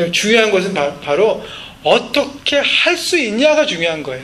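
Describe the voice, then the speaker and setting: A man talks with very wide pitch swings. Noticeable background noise and audible room echo surround him. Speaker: pastor. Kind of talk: sermon.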